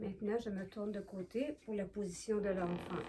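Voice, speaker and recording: A woman speaks at a medium pitch with ordinary pitch variation. Background noise is noticeable. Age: 70s. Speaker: yoga demonstrator. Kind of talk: tutorial. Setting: living room at home. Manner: slow; halting.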